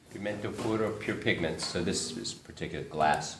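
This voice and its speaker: A man speaks at a moderate pace with a fairly low pitch. Audible room echo surrounds his voice. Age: 50s. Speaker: oil painter. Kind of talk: studio tour talk. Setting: artist studio with tour group. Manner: hesitant, many fillers.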